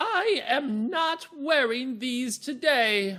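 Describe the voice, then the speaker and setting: Using a put-on character voice, a man speaks at a very slow pace with an extremely high pitch. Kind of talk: regal but clearly spoken. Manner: fun, playful.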